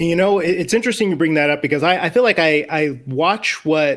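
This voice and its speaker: With an American accent, this plain, everyday voice moves at a fairly quick pace with lively intonation. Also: man. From Northwest Indiana, Chicago area. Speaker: sports podcast host. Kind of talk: casual sports chat.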